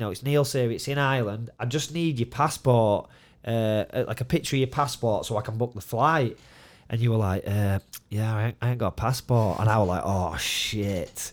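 A man with a Yorkshire accent speaks at a moderate pace and medium pitch with ordinary pitch variation, in a very clean recording with a silent background. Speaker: mixed martial arts fighter and coach. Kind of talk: casual chat.

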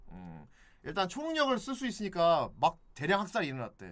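A man's voice swings very widely in pitch. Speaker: podcast host. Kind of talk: casual chat. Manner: animated.

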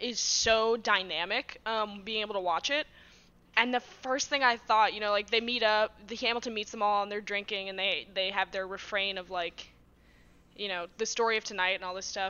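A woman with an American accent speaks at a moderate pace in a plain, everyday voice, her medium pitch moving in fairly even intonation. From Massachusetts, US. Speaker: guest and site writer. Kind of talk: casual interview chat.

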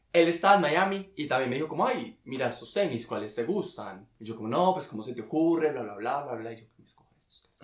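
Rattling along at a very fast pace, a man speaks with lively intonation in a fairly high voice. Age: 20s. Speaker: architect. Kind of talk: casual chat.

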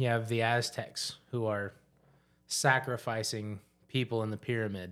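A man's medium-pitched, monotone, flat delivery on a very clean recording with a silent background. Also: fairly slow pace. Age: 30s. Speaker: podcast host. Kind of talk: casual chat.

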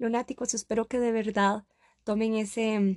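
She speaks at a fairly slow pace. Her intonation is monotone and flat. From Costa Rica. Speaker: podcast host. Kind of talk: motivational monologue.

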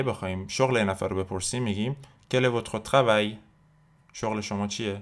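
A man with a plain, everyday voice, fairly low in pitch, at a fairly quick pace with fairly even intonation, on a very clean recording with a silent background. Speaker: French language teacher podcast host. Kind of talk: tutorial.

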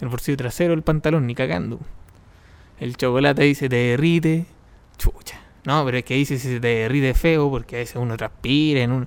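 A man talks at a moderate pace with a Chilean accent. His pitch is medium, with ordinary pitch variation. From Chile, Los Ángeles. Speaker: podcast host. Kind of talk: solo podcast monologue. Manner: halting, with repetitions.

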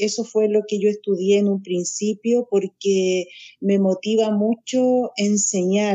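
At a very slow pace, a woman with a fairly high pitch speaks with fairly even intonation. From Chile, Santiago. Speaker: spiritual teacher. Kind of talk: interview.

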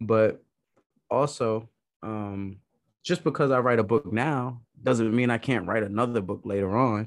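This man speaks with an American accent at a medium pitch and ordinary pitch variation. His pace is fairly slow, with long, frequent pauses. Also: very clean recording, silent background. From Brooklyn, New York. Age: 30s. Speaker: life coach. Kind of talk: casual chat.

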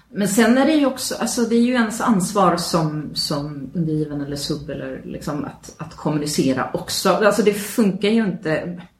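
A woman speaks at a moderate pace with hardly any pauses and very wide pitch swings, amid noticeable background noise and audible room echo. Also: medium pitch for a woman. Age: 40s. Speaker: podcast co-host. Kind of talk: casual chat. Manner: halting.

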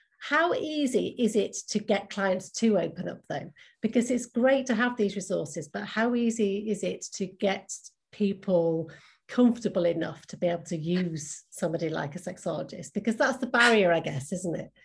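A woman of medium pitch speaks at a moderate pace with lively intonation. Her voice is somewhat breathy against a quiet background. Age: 50s. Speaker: podcast host. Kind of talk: interview chat.

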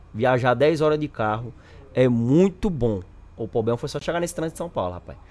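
A man with an unremarkable speaking voice talks at a fairly quick pace, with medium pitch and lively intonation. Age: 20s. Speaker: gamer guest. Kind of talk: casual chat.

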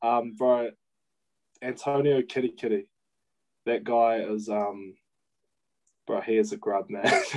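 A man speaks in a New Zealand accent at a fairly slow pace, with fairly even intonation and long, frequent pauses. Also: medium pitch for a man. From New Zealand, Kapiti Coast. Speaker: professional rugby player. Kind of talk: casual chat.

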